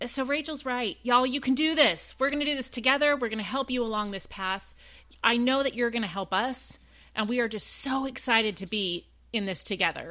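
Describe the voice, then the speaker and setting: Speaking in a Southern US accent, a woman has a high pitch, a bright, sharp tone and ordinary pitch variation. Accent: US South. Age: 40s. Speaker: podcast co-host, mother. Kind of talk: casual chat.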